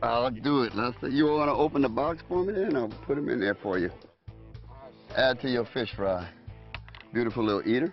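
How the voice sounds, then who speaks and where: A man talks at a fairly quick pace with lively intonation and a medium pitch. Long, frequent pauses break up his speech while music plays in the background. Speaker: fishing show host. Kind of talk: casual talk on a fishing boat.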